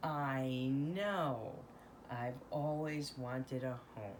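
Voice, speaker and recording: A woman's put-on character voice, very deep and low in pitch, at a very slow pace over clear background noise. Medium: read story. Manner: innocent, wondering.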